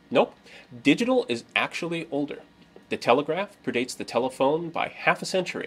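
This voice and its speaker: Vocal fry marks this man's voice as he talks at a fairly quick pace. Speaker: presenter. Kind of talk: lecture. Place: workshop.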